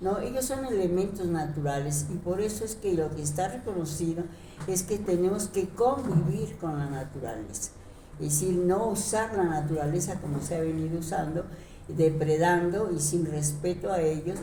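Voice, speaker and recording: A woman talks at a moderate pace with ordinary pitch variation. Audible room echo and noticeable background noise surround her voice. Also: fairly low pitch for a woman. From Mexico City. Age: 80s+. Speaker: retired teacher and leftist activist. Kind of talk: interview. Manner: halting, many fillers.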